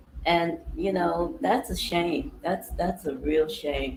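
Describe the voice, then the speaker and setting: Amid noticeable background noise, a woman speaks with lively intonation. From New York City (Harlem/Bronx). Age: 60s. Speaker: vlogger. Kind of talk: casual monologue. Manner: relaxed, rambling with fillers.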